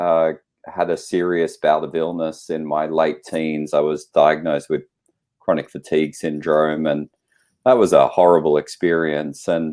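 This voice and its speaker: A man's very deep, low voice at a moderate pace, with monotone, flat intonation and an Australian accent. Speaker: naturopathic practitioner and lecturer. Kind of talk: interview. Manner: halting.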